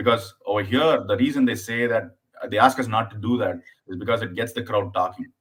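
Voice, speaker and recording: A man with an Indian accent at a fairly quick pace and with fairly even intonation. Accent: Indian accent, still noticeable. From southern India. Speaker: stand-up comedian. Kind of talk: casual chat. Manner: fast; hesitant, repeats words.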